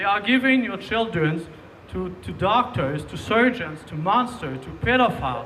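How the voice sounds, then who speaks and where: In a Quebec accent, a man raises and projects his high-pitched voice at a moderate pace with lively intonation, with noticeable background noise behind him. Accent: Québécois French. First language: French. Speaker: rally speaker. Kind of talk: public speech. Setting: outdoor rally. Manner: halting, many repetitions.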